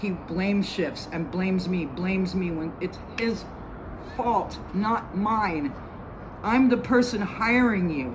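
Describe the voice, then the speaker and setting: Amid noticeable background noise and audible room echo, a woman at a medium pitch speaks at a very slow pace with lively intonation. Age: 60s. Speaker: homeowner making a complaint. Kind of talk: recorded complaint statement. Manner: halting.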